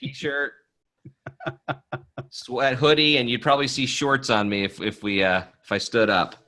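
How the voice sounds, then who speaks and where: Using an American accent, a man speaks fairly slowly with long, frequent pauses, his medium-pitched voice bright and sharp in tone with ordinary pitch variation. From US East Coast. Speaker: author and sales coach. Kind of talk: casual interview. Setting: video call from basement.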